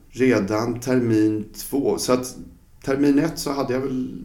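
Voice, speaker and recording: Against noticeable background noise and audible room echo, a man speaks at a very slow pace. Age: 50s. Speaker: fencing coach. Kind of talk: casual chat.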